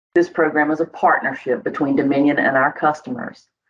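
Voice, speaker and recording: Someone with a North Carolina accent talks at a fairly quick pace. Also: woman. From northeastern North Carolina. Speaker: utility communications coordinator. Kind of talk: scripted podcast interview answer. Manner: formal.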